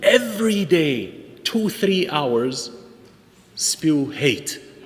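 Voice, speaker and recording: A man with a non-native accent, animated in tone, with very wide pitch swings, over noticeable background noise. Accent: foreign. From outside the United States. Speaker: imam. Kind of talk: speech at interfaith event.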